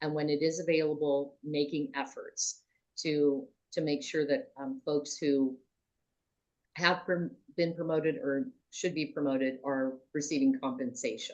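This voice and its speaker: Her voice is very deep and low for a woman, moving at a fairly slow pace with ordinary pitch variation. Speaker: public procurement trainer. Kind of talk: panel discussion in a webinar. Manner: normally loud.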